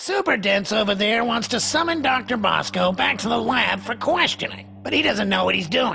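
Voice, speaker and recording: Faint music plays behind a put-on character voice that moves at a moderate pace with hardly any pauses. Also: man, high pitch for a man. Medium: video game. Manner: whiny, self-important.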